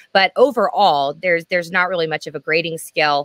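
A woman with an unremarkable speaking voice talks at a fairly low pitch with ordinary pitch variation, the sound dry with no echo and the background quiet. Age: 30s. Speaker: panelist. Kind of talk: casual chat. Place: home room.

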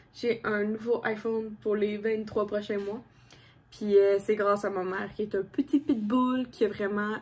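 A woman talks at a fairly slow pace. Her voice is somewhat breathy, with fairly even intonation. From Quebec. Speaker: lifestyle vlogger; vlogger. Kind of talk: casual vlog talk to camera. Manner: hesitant, many fillers. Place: home room. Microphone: phone near.

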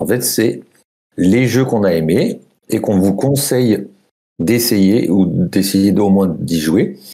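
A man with a dark, mellow tone at a fairly low pitch, very slow pace and very even loudness, with ordinary pitch variation, long, frequent pauses and a quiet background. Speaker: board game jury member. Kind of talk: casual group discussion about board games. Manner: colloquial, swears. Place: home room.

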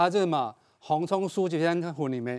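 A man with a normal speaking voice, fairly high in pitch, with lively intonation at a fairly quick pace. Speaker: agriculture expert guest; guest. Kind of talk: cooking demonstration. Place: studio. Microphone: lapel.

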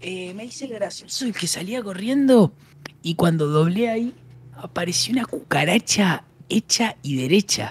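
A man with a Rioplatense accent, high in pitch, with lively intonation, big swings in loudness and a fairly slow pace. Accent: Argentine Rioplatense Spanish. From Argentina. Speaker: streamer. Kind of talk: casual chat while gaming. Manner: animated. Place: home room. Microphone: studio mic.

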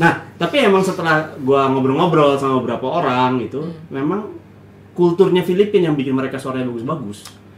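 Audible room echo surrounds a man talking at a very fast pace. His loudness swings widely while his pitch varies in an ordinary way. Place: home room.

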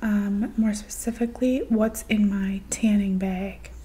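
Over light background noise, a soft-spoken woman talks at a very slow pace in a dark, mellow, somewhat breathy tone. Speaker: ASMR creator. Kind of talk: ASMR show-and-tell talk to camera. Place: home room. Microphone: studio mic.

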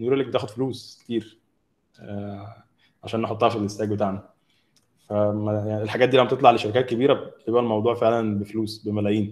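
A fairly low-pitched man at a fairly quick pace, with monotone, flat intonation. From Egypt. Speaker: mobile app developer; speaker. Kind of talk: technical talk. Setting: video call. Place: home room. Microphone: video call.

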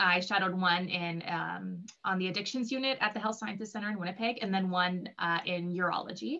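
Talking rather quickly, a woman shows typical pitch movement. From southern Manitoba. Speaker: physician assistant student. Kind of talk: Q&A panel answers. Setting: live online Q&A. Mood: friendly, relaxed. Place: home room. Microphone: video call.

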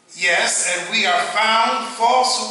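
A man speaks at a very slow pace with strong room echo. Light noise sits in the background. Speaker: preacher. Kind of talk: scripture reading in a sermon. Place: church.

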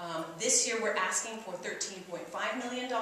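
Strong room echo and light background noise surround a woman speaking with fairly even intonation. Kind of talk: press conference statement. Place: classroom.

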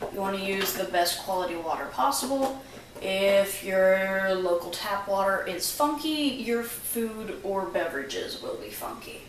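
There is audible room echo and light background noise. A woman speaks at a moderate pace. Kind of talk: tutorial. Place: kitchen. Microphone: camera far.

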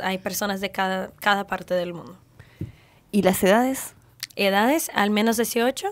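The speaker talks at a fairly slow pace with long, frequent pauses. Pitch variation is ordinary. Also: woman, medium pitch for a woman. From Brazil. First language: Portuguese (speaking Spanish). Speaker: ship crew member; guest. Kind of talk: radio interview. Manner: halting. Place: studio. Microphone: studio mic.

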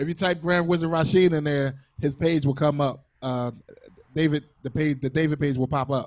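In a normal speaking voice, a man with fairly high pitch talks at a moderate pace with fairly even intonation. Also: quiet background. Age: 40s. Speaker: interview host and DJ; interview host, DJ. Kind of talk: casual interview. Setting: video call. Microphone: handheld.

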